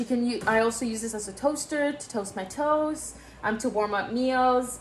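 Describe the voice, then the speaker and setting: A woman talks at a moderate speed, her pitch fairly high for a woman. Her pitch varies in an ordinary way, with noticeable background noise behind her. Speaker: YouTuber / video creator. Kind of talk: informal. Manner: casual, chatty, frequent fillers.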